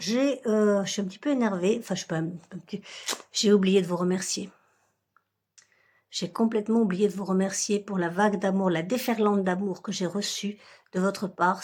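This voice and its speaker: A woman at medium pitch, somewhat breathy, with fairly even intonation, a moderate pace, long and frequent pauses, big swings in loudness, and a very clean recording with a silent background. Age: 60s. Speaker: budgeting vlogger. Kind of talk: casual vlog talk to viewers. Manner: hesitant, many fillers.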